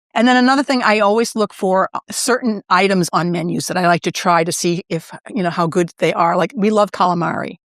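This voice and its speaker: With a normal speaking voice, a woman talks at a medium pitch and a fairly quick pace with ordinary pitch variation and hardly any pauses, in a dry, close sound with no echo on a very clean recording with a silent background. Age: 60s. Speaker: shop owner and former TV producer. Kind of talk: casual interview, quick-fire questions. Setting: in her shop.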